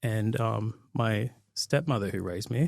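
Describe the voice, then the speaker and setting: A man speaks with an Australian accent. The recording is very clean with a silent background and a dry, close sound with no echo. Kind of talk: interview. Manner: halting.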